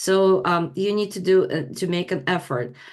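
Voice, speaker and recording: A woman speaks with a non-native accent at a fairly slow pace. The background is quiet. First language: not English. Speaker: leadership training provider. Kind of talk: online class presentation. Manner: halting, many fillers.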